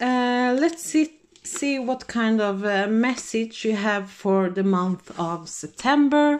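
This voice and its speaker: A woman's very slow speech with a non-native accent, lively intonation, a fairly high pitch and hardly any pauses. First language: not English. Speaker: tarot reader. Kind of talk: tarot reading to camera. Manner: halting, many fillers; casual, relaxed.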